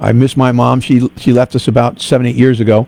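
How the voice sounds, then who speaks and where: This man has a New York accent and a dark, mellow tone. He talks at a fairly quick pace in a dry, close recording with no echo. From New York (Bronx). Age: 60s. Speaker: radio host. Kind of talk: casual chat.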